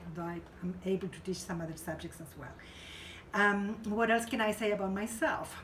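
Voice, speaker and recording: A somewhat breathy woman's voice with audible room echo. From Chile. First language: Spanish. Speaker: professor. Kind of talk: lecture. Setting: classroom. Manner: conversational, many fillers.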